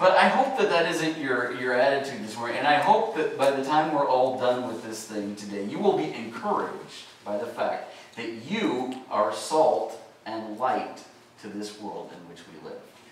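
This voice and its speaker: A man at a moderate pace, pitch swinging very widely and loudness rising and falling sharply, with audible room echo and light background noise. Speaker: pastor. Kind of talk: sermon. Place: church.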